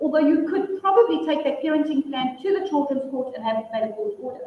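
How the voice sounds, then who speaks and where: A woman is talking. Her pitch is high. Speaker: family law attorney and mediator. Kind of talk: workshop presentation and Q&A. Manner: loud.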